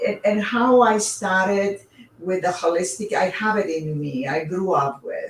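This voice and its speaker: Speaking fairly slowly, a woman talks with a Greek accent. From Greece. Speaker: author and reiki teacher. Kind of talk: interview. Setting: livestream. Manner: halting.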